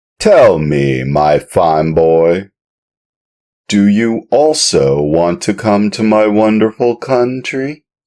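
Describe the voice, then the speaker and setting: In a put-on character voice, a man speaks very slowly at a fairly low pitch, with very wide pitch swings and very even loudness. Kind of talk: audiobook reading.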